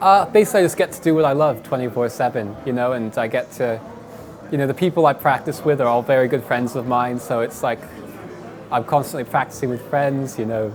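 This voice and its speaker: Amid noticeable background noise and audible room echo, a man talks fairly quickly at medium pitch with ordinary pitch variation. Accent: British. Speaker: professional esports player. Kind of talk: interview answers. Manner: halting, frequent fillers and repeats.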